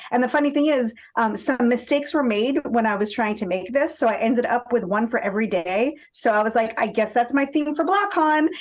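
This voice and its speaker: A woman with a high pitch and an animated tone, lively intonation, a fairly quick pace with hardly any pauses, very even loudness, and noticeable background noise behind her. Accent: American. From Boston area, Massachusetts. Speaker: fan and podcast listener. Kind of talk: casual interview chat. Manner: animated storytelling.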